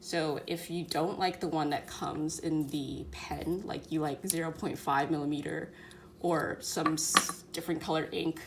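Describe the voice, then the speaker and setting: Her voice is very deep and low, and she is a woman speaking in a monotone, flat way. Noticeable background noise runs underneath. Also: moderate pace. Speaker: student. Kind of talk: casual product review to camera.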